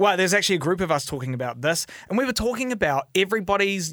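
Over noticeable background noise, a man with a New Zealand accent speaks with very wide pitch swings. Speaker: podcast host. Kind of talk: casual chat. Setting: studio. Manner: flustered, chatty.

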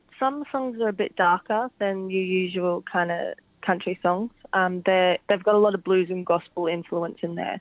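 A woman with an Australian accent talks at a moderate pace in a medium-pitched voice with ordinary pitch variation. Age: 20s. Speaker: country singer. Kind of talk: radio interview.

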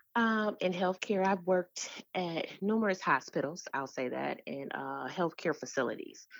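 With an American accent and a normal speaking voice, a woman talks at a moderate pace and medium pitch, her intonation lively, on a very clean recording with a silent background. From Detroit, Michigan. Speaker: nonprofit founder and literacy advocate. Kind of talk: interview.

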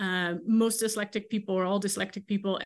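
A woman with a Dutch accent and fairly even intonation. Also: quiet background. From Netherlands. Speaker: ethics professor. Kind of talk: interview. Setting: video call. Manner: halting, many fillers.

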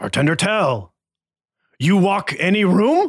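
This is a put-on character voice at a middle pitch. The delivery is fairly slow. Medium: actual play. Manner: one-word grunting phrases.

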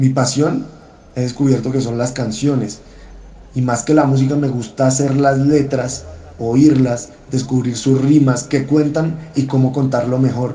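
Somewhat breathy and dark, mellow in tone, a man speaks at a fairly slow pace and a medium pitch with monotone, flat intonation and audible room echo. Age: 30s. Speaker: historian and songwriter. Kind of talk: personal essay read aloud.

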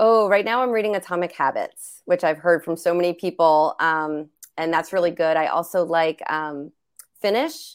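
A woman with an American accent and an unremarkable speaking voice, fairly low pitch and ordinary pitch variation, at a moderate pace, in a very clean recording with a silent background. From US, New Jersey. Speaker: business owner and coach. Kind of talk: casual interview chat.

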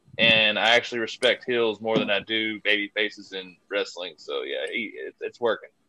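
Someone in a Kentucky accent speaks at a moderate pace with hardly any pauses. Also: man. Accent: Kentucky Southern US. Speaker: wrestling fan award winner. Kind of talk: casual chat.

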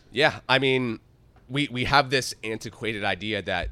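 Here a man speaks at medium pitch in a bright, sharp tone. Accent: American. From upstate New York. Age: 20s. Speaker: author. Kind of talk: interview.

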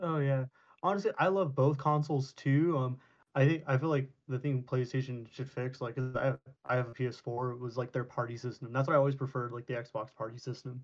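Fairly even intonation carries this speech along at a fairly quick pace. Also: man, medium pitch for a man. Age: 20s. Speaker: podcast guest. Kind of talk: casual chat.

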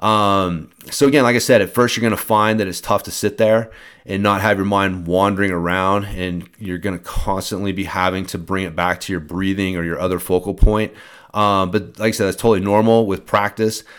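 A man speaks in a normal speaking voice, fairly low in pitch, at a fairly quick pace. His intonation is fairly even, and the recording is very clean with a silent background. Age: 40s. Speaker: mountain bike fitness coach and podcast host. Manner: relaxed, conversational instruction with frequent 'um', 'uh' and 'right?' fillers; calm, reassuring, gently paced coaching tone.

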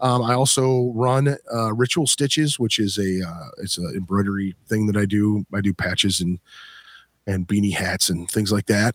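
A man's unremarkable speaking voice at a moderate pace with ordinary pitch variation, dry and close with no echo, on a very clean recording with a silent background. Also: fairly low pitch for a man. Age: 40s. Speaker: podcast host and band vocalist. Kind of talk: casual chat.

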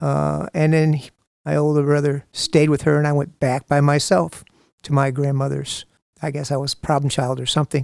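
With an American accent, a man speaks at a fairly high pitch with fairly even intonation in a dry, close sound with no echo. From US Midwest, Toledo, Ohio. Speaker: taekwondo instructor. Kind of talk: testimony. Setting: studio. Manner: halting.

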